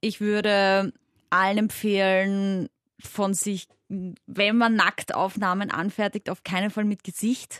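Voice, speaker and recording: Very slow and monotone, a woman speaks at medium pitch with flat intonation, the sound dry and close with no echo over a quiet background. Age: 20s. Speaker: sex educator and radio host. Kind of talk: casual chat.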